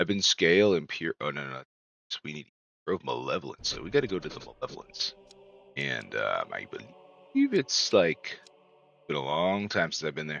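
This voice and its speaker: Music plays in the background as a man speaks at a moderate pace with big swings in loudness. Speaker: video game streamer. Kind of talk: casual chat. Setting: live stream. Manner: mumbling at times.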